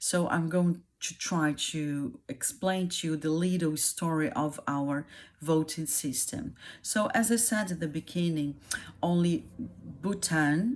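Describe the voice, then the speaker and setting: The speech comes at a very slow pace. It carries a Brazilian Portuguese accent. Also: woman, fairly low pitch for a woman, ordinary pitch variation. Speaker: YouTuber explaining her country. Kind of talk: casual explainer monologue. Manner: halting, many fillers.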